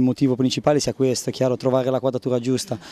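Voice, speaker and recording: Talking at a very fast pace, a man has a dark, mellow tone in a dry recording with no echo. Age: 30s. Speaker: footballer. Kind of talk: interview. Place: street. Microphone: handheld.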